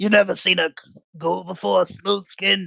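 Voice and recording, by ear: A put-on character voice at a middle pitch, raspy. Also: moderate pace.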